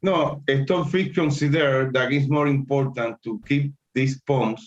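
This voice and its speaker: A man's fairly high, somewhat breathy voice with a Spanish accent, at a fairly slow pace. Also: ordinary pitch variation. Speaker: chess teacher. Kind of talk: lecture. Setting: live stream. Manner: halting.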